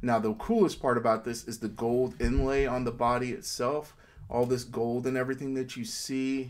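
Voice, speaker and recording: Here a man talks at a moderate pace. His pitch is medium and his intonation fairly even. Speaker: toy collector reviewer. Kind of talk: casual talk to camera. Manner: quiet, low volume.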